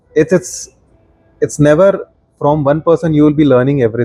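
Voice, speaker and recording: Over music in the background, a man with a fairly high pitch speaks at a moderate pace with long, frequent pauses, ordinary pitch variation and very even loudness, in a dry, close sound with no echo. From India, Maharashtra. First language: Marathi. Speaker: product designer and design teacher. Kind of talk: podcast interview.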